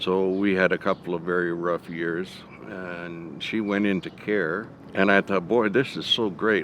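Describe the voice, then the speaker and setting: Noticeable background noise sits under a man's very deep, low voice. He speaks at a moderate pace with fairly even intonation. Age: 70s. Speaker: award honoree, community volunteer. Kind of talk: interview testimony.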